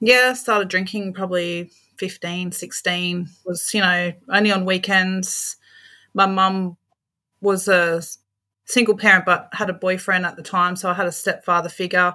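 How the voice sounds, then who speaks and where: Speaking in an Australian accent, a woman with a bright, sharp tone and medium pitch keeps a moderate pace and monotone, flat intonation in a very clean recording with a silent background. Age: 40s. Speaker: aged care worker. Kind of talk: interview, personal testimony.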